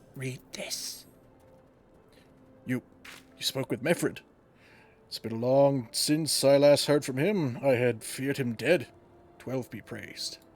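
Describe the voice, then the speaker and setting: Over music in the background, a man with a medium pitch uses a put-on character voice at a moderate pace. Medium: solo performance. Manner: gruff, grave.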